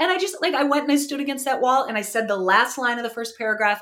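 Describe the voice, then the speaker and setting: A woman's high-pitched voice at a very fast pace. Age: 40s. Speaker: writer and storyteller. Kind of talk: casual chat. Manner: halting, repeats words.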